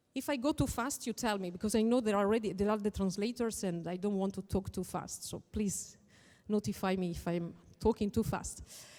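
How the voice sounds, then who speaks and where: A woman with an Italian accent, dark and mellow in tone, at a medium pitch and fairly quick pace with ordinary pitch variation, on a very clean recording with a silent background. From northern Italy (Veneto). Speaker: lawyer and conference speaker. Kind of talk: conference talk.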